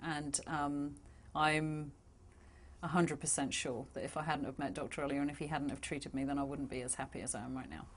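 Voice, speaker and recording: The speaker has a London accent and talks at a fairly quick pace. The intonation is monotone and flat. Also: woman, very deep, low pitch for a woman. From London, England. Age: 40s. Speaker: patient giving a testimonial. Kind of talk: testimonial interview answer.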